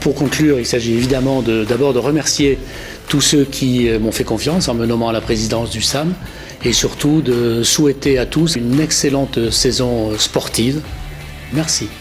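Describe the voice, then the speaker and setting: A man at a moderate pace, with fairly even intonation and very even loudness, against noticeable background noise. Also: medium pitch for a man. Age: 60s. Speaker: sports club president. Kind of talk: interview. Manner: hesitant, with filler sounds.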